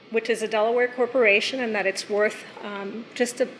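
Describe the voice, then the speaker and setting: Against noticeable background noise, a woman speaks at a moderate pace with a fairly high pitch and monotone, flat intonation. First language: not English. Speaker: resident speaking at public comment. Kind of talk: public comment at town meeting. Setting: town council meeting.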